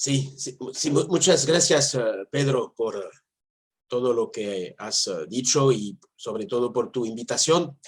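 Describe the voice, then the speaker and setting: A man speaks at a very slow pace in a medium pitch with ordinary pitch variation. His voice is somewhat breathy. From France. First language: French (speaking Spanish). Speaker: philosopher and theologian. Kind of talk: interview. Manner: halting, searching for words.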